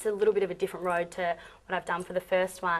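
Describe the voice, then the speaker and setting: At a very fast pace, a woman with an Australian accent speaks at a medium pitch. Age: young. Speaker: pop singer. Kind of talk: interview. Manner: hesitant, many ums.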